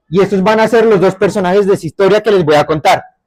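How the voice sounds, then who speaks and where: This is a man talking. He has a Bogotá accent. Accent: Bogotá (rolo). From Bogotá area, Colombia. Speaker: storyteller. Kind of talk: oral storytelling.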